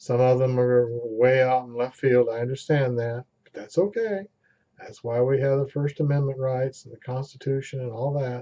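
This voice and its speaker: Big swings in loudness mark an unremarkable speaking voice from a man at medium pitch with fairly even intonation. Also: moderate pace. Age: 60s. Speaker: amateur vlogger. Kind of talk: casual vlog monologue.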